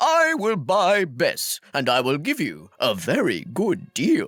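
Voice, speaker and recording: A man's put-on character voice, high in pitch, at a fairly slow pace with very even loudness. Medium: read story. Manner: friendly, coaxing.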